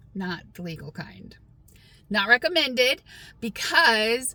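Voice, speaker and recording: Noticeable background noise sits behind this woman's voice. She speaks at a fairly high pitch with an American accent. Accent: slips in and out of a Southern. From Texas. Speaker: vlogger. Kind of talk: casual storytelling vlog.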